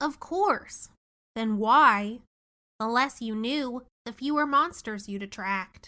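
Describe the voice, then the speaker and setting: A woman adopts a put-on character voice pitched fairly high. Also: fairly slow pace. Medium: read story. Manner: nervous, bleating laugh.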